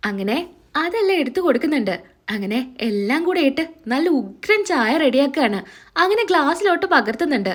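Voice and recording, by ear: A woman speaks at a moderate pace with few pauses. Her pitch is high and moves in big swings.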